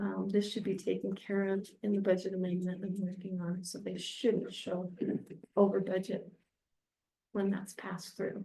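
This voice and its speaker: With audible room echo, this voice has a dark, mellow tone, vocal fry and flat, monotone intonation at a moderate pace. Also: woman, medium pitch for a woman. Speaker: city finance officer. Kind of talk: financial report. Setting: council chamber meeting.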